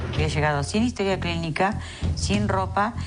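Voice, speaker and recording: A woman talks at a moderate pace. Music can be heard beneath her. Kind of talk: interview answer.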